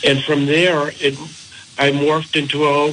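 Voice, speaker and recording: Against noticeable background noise, a man with a fairly high pitch talks at a moderate pace in a flat, monotone way. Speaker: author. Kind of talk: radio interview.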